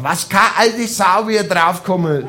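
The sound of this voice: With a high pitch and a fairly bright tone, a man talks at a moderate pace using lively intonation.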